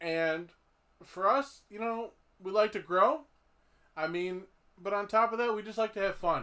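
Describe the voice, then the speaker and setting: Speaking in a raised, projected voice, a man with a high pitch and a bright, sharp tone shows big swings in loudness, ordinary pitch variation, and long, frequent pauses. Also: moderate pace. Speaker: podcast host. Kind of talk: casual chat. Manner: expressive.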